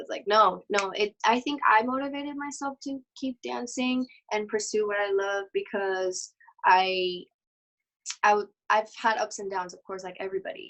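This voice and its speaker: A woman's fairly high voice at a moderate pace, with ordinary pitch variation and big swings in loudness. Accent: Mexican. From Mexico. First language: Spanish. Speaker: dancer. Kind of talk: interview. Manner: halting.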